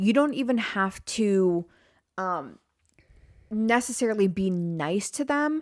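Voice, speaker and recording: An ordinary speaking voice with lively intonation comes through dry and close with no echo, on a very clean recording with a silent background. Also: woman. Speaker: podcast host and video creator. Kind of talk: casual podcast chat. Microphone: microphone very close to mouth.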